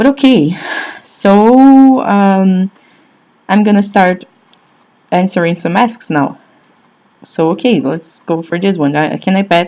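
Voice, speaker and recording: A woman speaks in a Brazilian Portuguese accent with lively intonation. Her pace is very slow, with long, frequent pauses. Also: medium pitch for a woman. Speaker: blogger answering fan questions. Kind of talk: casual vlog talk. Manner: halting, many fillers and restarts.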